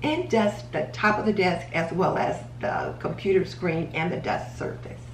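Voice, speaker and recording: The speech moves at a fairly slow pace, with light background noise and audible room echo. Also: woman. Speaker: home organizing vlogger. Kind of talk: tutorial. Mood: calm, friendly. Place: kitchen. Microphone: camera far.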